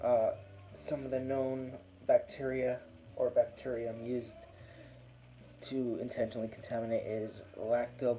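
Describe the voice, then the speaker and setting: A man speaks quietly in a relaxed tone at a fairly slow pace. Long, frequent pauses break up his speech, and background noise is noticeable. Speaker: beer reviewer. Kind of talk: casual video review. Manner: quiet, keeping voice down; relaxed, with fillers.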